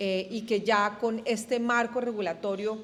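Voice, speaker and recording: With a Colombian accent, a woman speaks at a medium pitch and a fairly slow pace. Her intonation is monotone and flat. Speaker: energy industry representative. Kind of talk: panel discussion.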